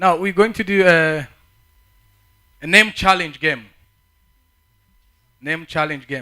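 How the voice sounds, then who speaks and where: A man talks at a fairly slow pace with long, frequent pauses. His pitch is high, with ordinary variation. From Africa. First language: not English; English is fourth language. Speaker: conference speaker. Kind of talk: talk to youth audience. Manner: halting, repeats words.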